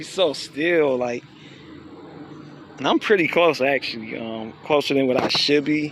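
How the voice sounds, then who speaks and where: Amid noticeable background noise, a man with a fairly high pitch and ordinary pitch variation speaks at a fairly slow pace, with long, frequent pauses. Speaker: nature vlogger. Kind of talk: casual walk-and-talk vlog. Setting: outdoors, nature walk. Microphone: voice muffled by mask.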